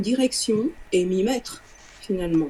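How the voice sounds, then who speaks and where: Fairly slow talk from a woman, with noticeable background noise. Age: 60s. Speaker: sound therapist, former music teacher. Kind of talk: client testimonial interview. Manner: halting, with repetitions.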